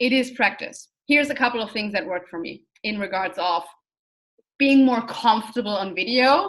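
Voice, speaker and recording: With audible room echo, a woman with a non-native accent and a fairly high pitch talks at a moderate pace in an energetic, animated tone with lively intonation. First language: not English. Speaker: online business coach. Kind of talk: online course lecture. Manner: talks with hands, energetic.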